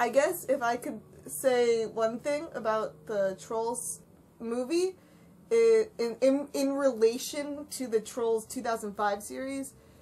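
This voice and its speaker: A woman's high-pitched voice, dark and mellow in tone, at a very slow pace with ordinary pitch variation, on a very clean recording with a silent background. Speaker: fandom Q&A podcast host. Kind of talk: casual Q&A chat. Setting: voice call.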